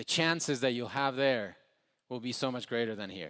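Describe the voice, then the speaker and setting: Spanish-accented speech comes through. The tempo runs fairly quick. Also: man. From Ecuador. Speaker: entrepreneur, motivational speaker. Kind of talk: motivational speech. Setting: stage with live audience.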